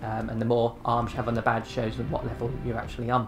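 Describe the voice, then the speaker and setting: Music plays in the background. A man with a medium-pitched voice talks at a fairly quick pace. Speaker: gaming youtuber. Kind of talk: tutorial. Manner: fast.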